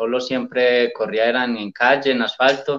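A man talks at a medium pitch with fairly even intonation and a moderate pace. His is a plain, everyday voice. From Colombia, Antioquia. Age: 30s. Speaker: trail runner. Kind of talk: interview.

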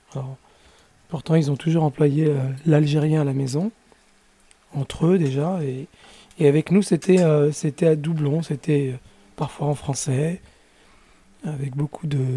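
A somewhat breathy voice with a dark, mellow tone and fairly even intonation, fairly slow, with long, frequent pauses. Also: man, fairly high pitch for a man. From Paris region, France. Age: 50s. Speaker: interviewee. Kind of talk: testimony. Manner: halting.

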